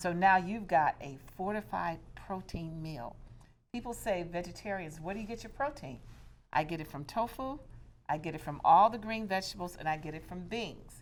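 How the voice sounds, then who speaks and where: A woman with a normal speaking voice talks at a moderate pace, her pitch fairly low. Her intonation is lively, and her loudness swings widely. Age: 60s. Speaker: diversity and inclusion coach and public speaker. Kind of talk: cooking demonstration.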